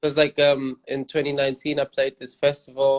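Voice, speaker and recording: In a dry, close recording with no echo, a man speaks with a German accent. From Germany. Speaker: rapper. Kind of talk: interview.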